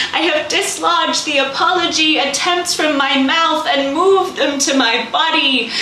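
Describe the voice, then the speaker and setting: A woman's raised, projected voice, high-pitched and fairly slow, with fairly even intonation over noticeable background noise. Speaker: spoken word poet. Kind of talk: spoken word poetry performance. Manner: emotional, raw.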